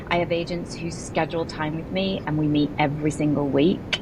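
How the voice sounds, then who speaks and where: Amid noticeable background noise and audible room echo, a woman with an English accent talks at a very deep, low pitch in a monotone, flat intonation. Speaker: real estate broker and agent coach. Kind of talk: podcast interview.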